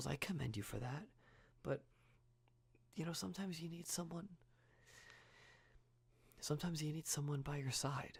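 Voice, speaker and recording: A man speaks in a fairly high, somewhat breathy voice with a gentle tone and ordinary pitch variation. His pauses are long and frequent. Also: moderate pace. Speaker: ASMR artist. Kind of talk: ASMR roleplay, friend caring for a sick person. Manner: soft, gentle, caring.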